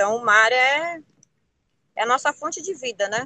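A woman talks at a moderate pace in a high pitch with a bright, sharp tone. The sound is dry and close, with no echo. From Ilhabela, São Paulo coast, Brazil. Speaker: traditional fisherwoman. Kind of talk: interview testimony.

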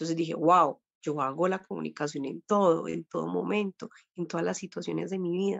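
A woman in a plain, everyday voice speaks at a fairly low pitch and a moderate pace with ordinary pitch variation. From Colombia. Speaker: dream therapist. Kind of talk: interview, explaining spiritual practice.

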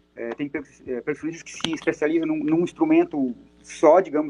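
Fairly quick speech from a man with a normal speaking voice, fairly high pitch and ordinary pitch variation. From Brazil, Araranguá (Santa Catarina). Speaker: drummer and percussionist. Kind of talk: casual chat.

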